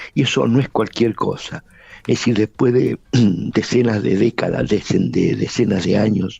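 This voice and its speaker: A dark, mellow voice moves at a fairly slow pace with vocal fry and very even loudness. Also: man, fairly low pitch for a man, ordinary pitch variation. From Argentina. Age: 80s+. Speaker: lawyer and former guerrilla commander. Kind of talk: interview.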